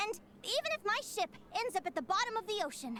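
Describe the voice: A woman puts on a character voice at an extremely high pitch, with big pitch swings. She talks at a fast pace in a bright, sharp tone.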